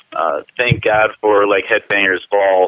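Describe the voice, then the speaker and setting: Speaking at a fairly slow pace with an American accent, a man uses a normal speaking voice with a fairly low pitch. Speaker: metal band vocalist. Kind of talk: interview. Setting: phone call.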